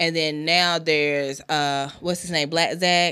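A woman's very deep, low voice with an American accent, bright and sharp in tone, with monotone, flat intonation. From South Carolina, Anderson. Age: 30s. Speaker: podcast host. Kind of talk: casual chat. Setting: studio.

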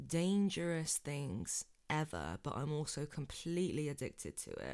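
In a very clean recording with a silent background, a woman speaks with a very deep, low pitch and ordinary pitch variation. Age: 20s. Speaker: podcast host. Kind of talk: casual chat. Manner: animated.

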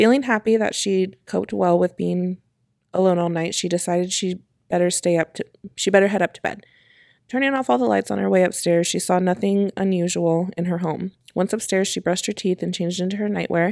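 The shaky voice of a woman comes at a fairly quick pace and medium pitch, recorded very cleanly with a silent background and a dry, close sound with no echo. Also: ordinary pitch variation. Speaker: podcast co-host. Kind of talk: ghost story telling, read aloud from a script. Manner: voice shaky with fear, as she herself says.

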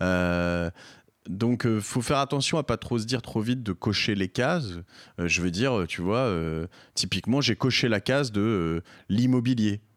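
Fairly low in pitch, a man speaks at a fairly slow pace with lively intonation and very even loudness, recorded very cleanly against a silent background with a dry, close sound and no echo. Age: 40s. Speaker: entrepreneur and podcaster. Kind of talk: interview. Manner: halting, frequent repetitions and fillers.

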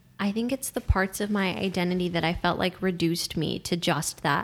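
Fairly low in pitch, this woman's voice carries some vocal fry. She speaks at a fairly quick pace with ordinary pitch variation. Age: 20s. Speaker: young elected official and student. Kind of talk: casual chat.

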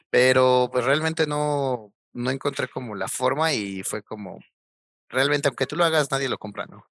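A man has an ordinary speaking voice at a medium pitch, talking at a moderate pace with ordinary pitch variation and big swings in loudness. The recording is very clean with a silent background, and the sound is dry and close with no echo. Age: 20s. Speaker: electronics engineer, hardware developer. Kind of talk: casual interview.

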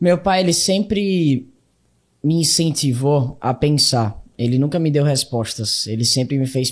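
Fairly high, somewhat breathy male voice at a fairly slow pace, with lively intonation, very even loudness, and a very clean recording over a silent background. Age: 20s. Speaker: young entrepreneur and speaker. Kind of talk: interview.

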